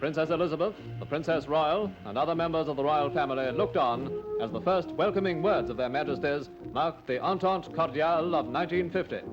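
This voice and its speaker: Fairly quick, lively speech from a man with a fairly high pitch, with music in the background. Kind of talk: newsreel narration.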